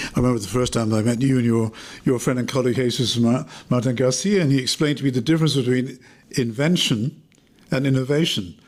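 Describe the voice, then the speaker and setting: Speaking at a very fast pace, a man keeps a medium pitch with ordinary pitch variation. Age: 70s. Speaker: podcast interviewer. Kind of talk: interview.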